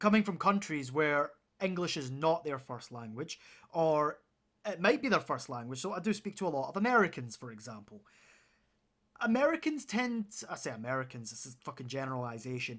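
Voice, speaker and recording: A man's fairly high voice at a fairly quick pace, with very wide pitch swings and big swings in loudness, on a very clean recording with a silent background. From Scotland, Paisley near Glasgow. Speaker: gaming streamer. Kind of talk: casual gameplay commentary. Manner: casual, rambling.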